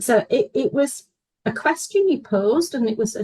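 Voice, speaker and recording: A woman speaks at a fairly slow pace in a dark, mellow, somewhat breathy voice. The sound is dry and close, with no echo. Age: 60s. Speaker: horse riding student. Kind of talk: testimony.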